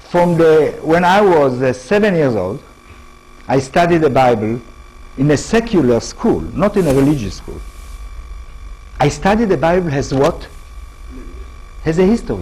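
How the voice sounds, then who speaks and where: A man speaks at a moderate pace in a fairly high voice, his pitch swinging very widely and his speech broken by long, frequent pauses. Noticeable background noise and audible room echo are present. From Israel. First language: Hebrew. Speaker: professor. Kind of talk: lecture. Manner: halting.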